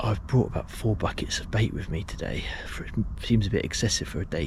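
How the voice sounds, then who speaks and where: Noticeable background noise under fairly quick talking. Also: man. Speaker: angler vlogger. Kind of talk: casual vlog narration. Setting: outdoors at a lake. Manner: whispering.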